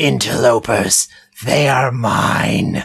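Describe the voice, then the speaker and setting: This put-on character voice is raspy and sits at a low-to-middle pitch. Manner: snarly, possessive.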